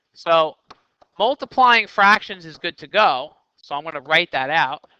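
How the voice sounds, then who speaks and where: In a dry, close recording with no echo, a man with a high pitch and a bright, sharp tone speaks with lively intonation and big swings in loudness. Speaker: math teacher. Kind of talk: tutorial. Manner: fast.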